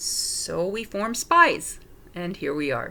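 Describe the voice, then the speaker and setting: Speaking at a very slow pace, a woman has a bright, sharp tone and a New York accent. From New York City (Manhattan). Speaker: paranormal investigator. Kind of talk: self-introduction. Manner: halting.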